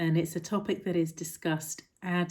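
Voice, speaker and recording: Soft-spoken and calm in tone, a woman talks at a moderate pace. Her pitch is fairly low and her tone dark and mellow. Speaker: mindfulness teacher. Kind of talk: talk to camera explaining mindfulness. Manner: soft-spoken, calm.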